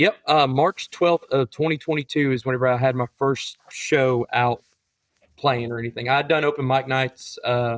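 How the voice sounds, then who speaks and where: Dry and close with no echo, the recording has a man with a normal speaking voice at medium pitch, speaking at a moderate pace with fairly even intonation and very even loudness. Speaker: high school English teacher and country songwriter. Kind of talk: interview answer.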